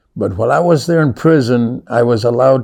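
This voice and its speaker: A man with an American accent speaks at medium pitch in a dark, mellow tone. His pace is moderate, with ordinary pitch variation. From South Texas. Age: 70s. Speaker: storyteller sharing life story. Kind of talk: personal testimony. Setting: recorded interview on camera.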